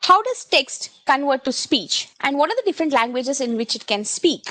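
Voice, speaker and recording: With an Indian accent, a woman speaks in a high pitch and with lively intonation. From India, Kannada-speaking (Karnataka). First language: Kannada. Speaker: solution architect, tech presenter. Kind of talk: technical webinar demo. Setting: online session with screen share, headset. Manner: hesitant, many fillers.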